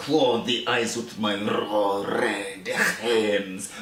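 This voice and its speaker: Putting on a character voice at a medium pitch, a man speaks at a very slow pace, with a slight echo. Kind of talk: comic overacting. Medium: voice reel.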